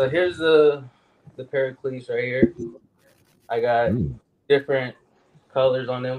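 A man with an American accent speaks at a moderate pace, using fairly even intonation and long, frequent pauses. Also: medium pitch for a man. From Iowa (Des Moines). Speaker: custom shoe designer. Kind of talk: casual chat.

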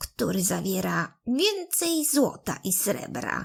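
Using a put-on character voice, a woman growls her words at a fairly slow pace. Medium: read story.

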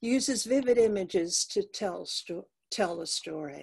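Against a quiet background, the somewhat breathy voice moves very slowly with very wide pitch swings. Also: woman. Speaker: co-host and poet. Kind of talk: poetry reading. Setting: video call. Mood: somber, reflective. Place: home room. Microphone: webcam.

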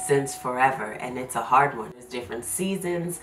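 A woman speaks with a very deep, low pitch. Clear music plays in the background. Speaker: homeschooling mom vlogger. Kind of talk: casual vlog chat. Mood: warm, relaxed, laughing. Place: home room.

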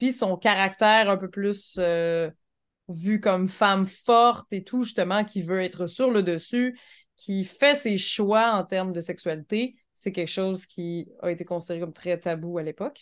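Here is an ordinary speaking voice from a woman at a medium pitch. She goes at a fairly slow pace, with ordinary pitch variation. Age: 30s. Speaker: podcast co-host. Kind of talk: casual chat.

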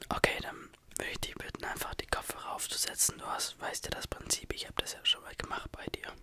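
A man speaks over loud background noise in a dry sound with no echo. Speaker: ASMR creator. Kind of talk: soft ASMR roleplay chat. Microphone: studio mic.

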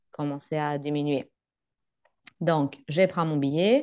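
In a very deep, low pitch, a woman speaks at a very slow pace with fairly even intonation. The background is quiet. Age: 30s. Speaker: working holiday traveller, psychologist; guest. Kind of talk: interview. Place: home room. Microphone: video call.

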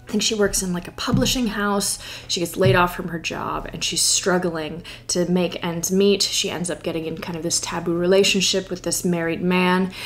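A woman in an American accent, flat and monotone, at a moderate pace. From US small town. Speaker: book YouTuber. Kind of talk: casual vlog-style chat. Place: home room.

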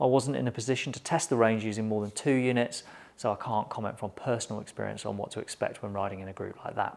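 A man's fast, fairly low voice, slightly mellow in tone with vocal fry and fairly even intonation

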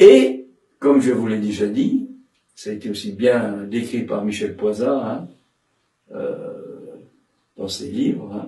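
Against a quiet background with audible room echo, a man speaks at a very slow pace, with long, frequent pauses and big swings in loudness. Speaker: psychoanalyst and dramatic tenor giving a seminar. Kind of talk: lecture. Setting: seminar room with audience. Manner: halting, many repetitions and fillers. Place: home room.

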